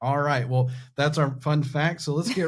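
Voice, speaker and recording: In a Southern US accent, a man with a fairly high, somewhat breathy voice speaks very fast with ordinary pitch variation. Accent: Southern American. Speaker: podcast host. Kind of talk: podcast interview. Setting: studio.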